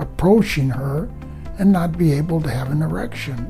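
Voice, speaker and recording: Music plays in the background as a man speaks. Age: 70s. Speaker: patient giving a testimonial. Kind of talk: interview answer. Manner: hesitant, many filler pauses.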